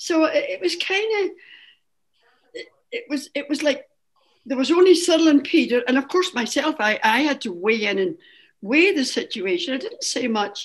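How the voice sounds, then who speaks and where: With a Scottish accent, a woman speaks at a moderate pace and a high pitch, her voice making very wide pitch swings. Her pauses are long and frequent. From Scotland. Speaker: Irish dance teacher, association founding member. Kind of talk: oral history interview.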